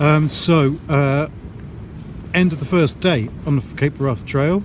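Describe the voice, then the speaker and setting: Over noticeable background noise, a man with a fairly high pitch talks at a very slow pace with ordinary pitch variation. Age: 60s. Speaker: hiker vlogger. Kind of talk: vlog commentary. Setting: outdoors; in a tent.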